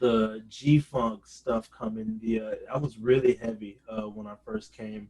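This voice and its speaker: In a normal speaking voice, a man at medium pitch talks at a fairly slow pace with fairly even intonation and big swings in loudness. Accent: American. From New Orleans, Louisiana, then California Bay Area. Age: 20s. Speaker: bass guitarist and hip hop producer. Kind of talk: interview. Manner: casual, with many fillers.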